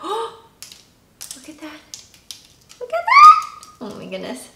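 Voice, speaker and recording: Squeaky and extremely high-pitched, a woman performs a put-on character voice. She talks at a fairly slow pace. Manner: excited.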